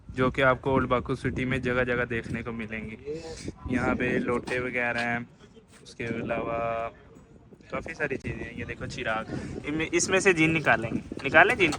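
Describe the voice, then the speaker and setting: There is noticeable background noise behind a man speaking at a medium pitch. His loudness swings widely while his pitch varies an ordinary amount. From Pakistan. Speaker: travel vlogger. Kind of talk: travel vlog narration. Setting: outdoors walking in old city streets.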